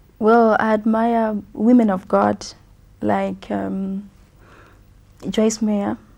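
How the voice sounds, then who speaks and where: A woman's voice in a very clean recording against a silent background. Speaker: gospel singer. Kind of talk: TV interview. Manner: hesitant, many fillers.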